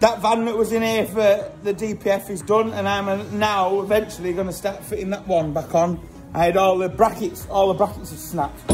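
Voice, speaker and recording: A man's high-pitched voice with hardly any pauses, over clear background music. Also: fairly quick pace. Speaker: mechanic vlogger. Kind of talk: casual vlog chat. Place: workshop. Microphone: phone near.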